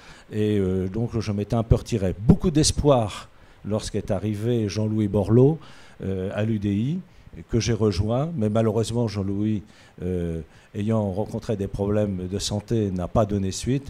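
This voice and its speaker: Dark and mellow in tone, a man's fairly low voice moves at a fairly slow pace with ordinary pitch variation. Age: 60s. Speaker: municipal election candidate. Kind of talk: interview. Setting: studio. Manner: halting, frequent hesitations.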